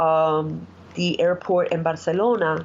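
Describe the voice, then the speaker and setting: This woman has a fairly low pitch and speaks with a Spanish accent. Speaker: executive assistant. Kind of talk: interview.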